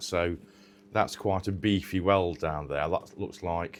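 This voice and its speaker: This man speaks with a northern English accent. His pace is fairly slow. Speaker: car restoration vlogger. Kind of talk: casual workshop vlog.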